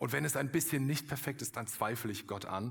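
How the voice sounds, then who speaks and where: A man speaks in a warm tone with ordinary pitch variation. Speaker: pastor. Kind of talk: sermon, earnest and direct, addressing the congregation as 'du' with appeals to decide. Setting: church. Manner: persuasive, warm, urgent, with emphatic repetition.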